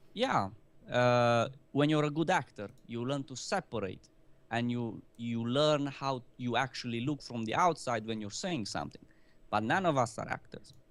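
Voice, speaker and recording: A speaker with a non-native accent is heard in a very clean recording with a silent background. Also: man, medium pitch for a man, ordinary pitch variation, moderate pace. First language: not English. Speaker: gaming video host. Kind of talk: casual panel discussion.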